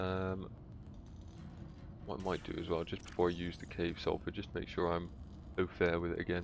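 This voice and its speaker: Flat and monotone, a man with a very deep, low voice talks fairly quickly but leaves long pauses often. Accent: British. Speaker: gaming streamer. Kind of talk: live gameplay commentary. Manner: casual, hesitant.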